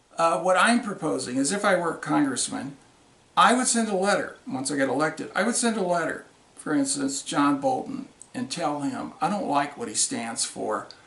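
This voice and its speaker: A man speaks at a high pitch with very wide pitch swings and a moderate pace. Noticeable background noise and audible room echo are present. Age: 60s. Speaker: congressional candidate and Vietnam veteran. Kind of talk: political video monologue. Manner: angry, confrontational.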